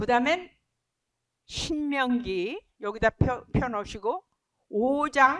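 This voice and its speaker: A woman speaks with lively intonation in a dry, close recording with no echo. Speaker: missionary Bible teacher. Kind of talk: Bible study lecture. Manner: mixes English words into Korean.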